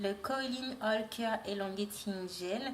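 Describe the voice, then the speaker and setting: Amid noticeable background noise and audible room echo, a woman speaks at a fairly high pitch with fairly even intonation. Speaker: natural hair product reviewer. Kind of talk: product review. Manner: hesitant, many fillers.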